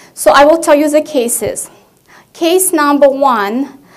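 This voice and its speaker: In a Russian accent, a woman speaks at a fairly slow pace with a high pitch. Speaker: family medicine physician. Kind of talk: conference presentation. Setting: conference stage with audience.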